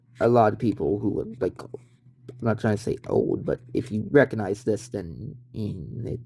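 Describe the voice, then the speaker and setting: A man with a medium-pitched voice, a dark, mellow tone and some vocal fry speaks at a fairly slow pace. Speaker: retro tech YouTuber. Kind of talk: casual show-and-tell video. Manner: halting, stumbling over words; casual, rambling.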